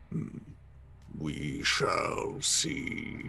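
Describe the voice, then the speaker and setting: Someone growls in a put-on character voice. Background noise is clear. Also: man. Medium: actual play. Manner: terse, solemn.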